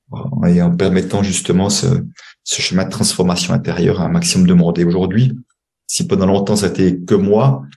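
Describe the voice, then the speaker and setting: A man's very deep, low, dark and mellow voice at a fairly quick pace, with ordinary pitch variation and audible room echo. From Switzerland. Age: 60s. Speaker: money coach and former banker. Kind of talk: podcast interview. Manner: halting.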